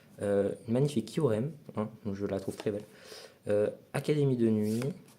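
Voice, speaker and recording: The man's voice has a dark, mellow tone. His pitch varies in an ordinary way. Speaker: new member of a card-opening channel. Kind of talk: casual card unboxing. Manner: loud; halting.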